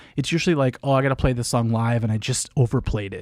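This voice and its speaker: In an animated tone, a man talks with an American accent. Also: very clean recording, silent background. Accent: noticeable accent others tease. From Minnesota. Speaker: guitarist livestreamer. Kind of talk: casual livestream chat.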